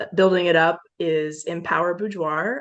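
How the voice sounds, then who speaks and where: This woman has an unremarkable speaking voice, fairly low in pitch, and talks at a moderate pace. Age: 20s. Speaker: photographer and environmental scientist. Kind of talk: casual chat.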